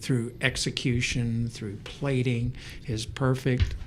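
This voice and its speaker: Speaking very slowly in a flat monotone, a man with a medium pitch sounds somewhat breathy amid audible room echo. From Canada, British Columbia (born in England). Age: 70s. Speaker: maitre d'. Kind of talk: podcast interview.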